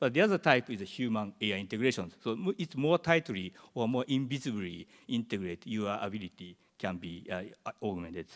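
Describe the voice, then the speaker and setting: A man with a Japanese accent at a fairly quick pace, in a very clean recording with a silent background and a dry, close sound free of echo. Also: medium pitch for a man. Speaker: professor. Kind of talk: conference presentation. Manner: halting.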